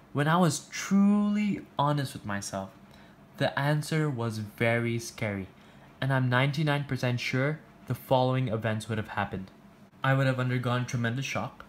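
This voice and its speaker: A man's medium-pitched voice carries lively intonation. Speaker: education youtuber. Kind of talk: personal reflection monologue. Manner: fast.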